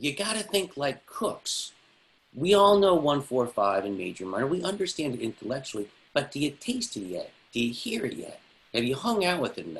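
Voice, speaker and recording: Speaking at a fairly quick pace, a man uses a fairly high pitch with very wide swings and vocal fry. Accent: American. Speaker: music theory teacher. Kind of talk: online class lecture. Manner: talks fast when excited.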